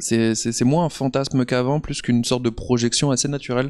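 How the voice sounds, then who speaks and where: A man's monotone voice with flat intonation against a quiet background. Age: 30s. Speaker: comics author and illustrator; comics author. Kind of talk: interview. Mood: calm, reflective. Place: hall. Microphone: handheld.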